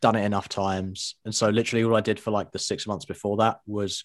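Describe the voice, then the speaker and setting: A man with a British accent, fairly low-pitched, talking very fast on a very clean recording against a silent background. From England. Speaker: guest, online publisher. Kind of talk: casual interview chat. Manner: humorous, jokey.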